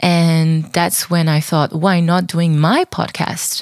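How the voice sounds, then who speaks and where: A woman with a French accent speaks at a fairly low pitch, recorded with a dry, close sound and no echo. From southern France. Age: 30s. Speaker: podcast host, dancer and choreographer. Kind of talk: casual monologue.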